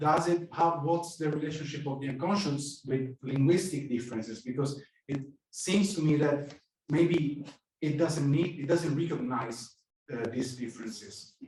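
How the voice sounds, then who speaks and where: In an Italian accent, a man with a fairly high pitch talks at a moderate pace, somewhat breathy, with ordinary pitch variation, long, frequent pauses, and audible room echo. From Italy. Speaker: psychoanalyst, audience member. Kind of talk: audience question at a lecture. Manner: halting, many fillers.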